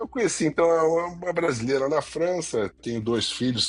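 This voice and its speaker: With a Carioca accent, a man talks at a moderate pace with very wide pitch swings. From Rio de Janeiro, Brazil (French parents). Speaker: retail media executive. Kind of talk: podcast interview. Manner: conversational, hesitant with repetitions.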